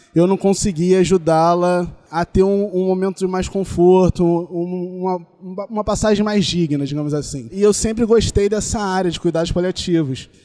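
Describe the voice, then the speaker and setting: A man's high-pitched voice carries a dark, mellow tone in a dry, close recording with no echo. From Rio de Janeiro, Brazil. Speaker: doctor. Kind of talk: casual interview chat.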